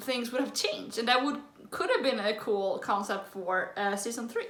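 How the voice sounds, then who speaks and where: A woman with a Swedish accent, amid audible room echo. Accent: Swedish accent, noticeable. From Sweden. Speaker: YouTube reactor. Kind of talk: reaction video commentary. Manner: casual, filler-heavy.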